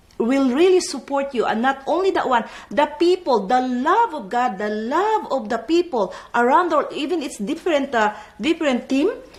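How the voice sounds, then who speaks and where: A woman with a non-native accent talks in a high pitch, her tone animated and her intonation lively. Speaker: network marketing distributor. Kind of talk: panel discussion.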